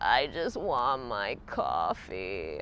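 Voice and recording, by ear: Putting on a character voice, a man speaks at a medium pitch, creaky and gravelly.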